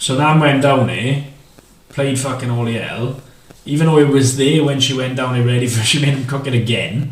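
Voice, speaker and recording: A man's monotone, flat delivery at a moderate pace, amid noticeable background noise and audible room echo. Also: medium pitch for a man. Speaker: podcast co-host. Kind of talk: casual chat. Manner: stuttering. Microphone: far from the mic.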